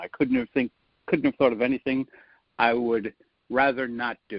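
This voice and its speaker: With a Rhode Island accent, a man talks at a fairly quick pace, his pitch swinging very widely. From US Northeast, Rhode Island (Providence). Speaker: public speaking coach. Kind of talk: podcast interview.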